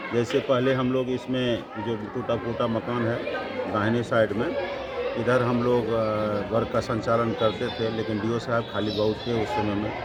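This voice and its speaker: Over crowd noise and audible room echo, a man speaks at a medium pitch in a monotone, flat intonation. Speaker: school headmaster. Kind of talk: interview.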